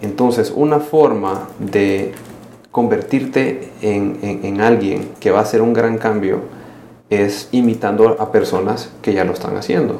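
A man with a Salvadoran accent and a fairly low pitch speaks at a fairly slow pace with ordinary pitch variation, amid noticeable background noise and audible room echo. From El Salvador. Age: 30s. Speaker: social entrepreneur. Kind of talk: casual interview.

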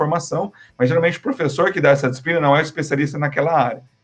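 A man's voice with fairly high pitch. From Brazil, Paraná (Londrina). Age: 30s. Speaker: marketing professor. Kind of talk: casual interview.

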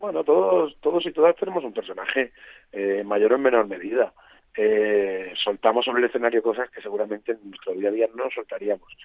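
His loudness swings a lot as this man speaks. He has a medium pitch and a fairly quick pace. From Murcia, Spain. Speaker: comedian. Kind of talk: interview. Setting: phone call.

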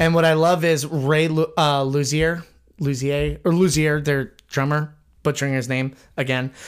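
The background is completely silent and the recording very clean. Delivery is at a moderate speed. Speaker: podcast host. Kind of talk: casual chat. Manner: chatty, laughs often.

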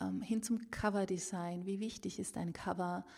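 A woman's somewhat breathy, dark, mellow voice with fairly even intonation, in a very clean recording with a silent background. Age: 40s. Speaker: author and podcast host. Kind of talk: casual solo podcast monologue. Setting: at her desk with a microphone.

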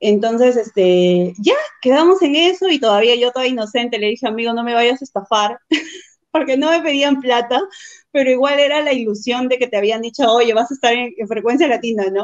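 A woman's high voice has ordinary pitch variation and moves at a moderate pace. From Peru, Huacho (born Chiclayo). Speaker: clothing store entrepreneur. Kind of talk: casual interview. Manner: laughs often.

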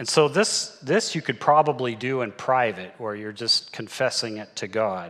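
In a normal speaking voice, a man at medium pitch talks at a moderate pace with ordinary pitch variation and big swings in loudness. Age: 60s. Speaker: church elder preaching. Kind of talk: sermon.

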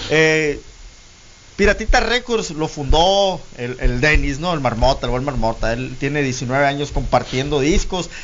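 A man speaks in a plain, everyday voice at a fairly slow pace. His pitch is fairly high and his intonation lively. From Guaymas, Sonora, Mexico. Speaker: internet radio founder. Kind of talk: interview. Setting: radio studio.

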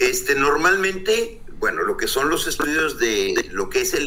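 The speech moves at a moderate pace, with audible room echo around it. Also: man. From northern Mexico (Coahuila). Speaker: oceanographer. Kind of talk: interview.

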